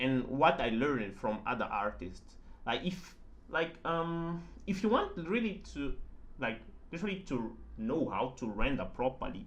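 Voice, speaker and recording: The man's voice has vocal fry and moves at a fairly slow pace. Audible room echo surrounds it. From southern Africa. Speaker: concept artist and art teacher. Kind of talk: casual tutorial chat. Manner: halting, many fillers.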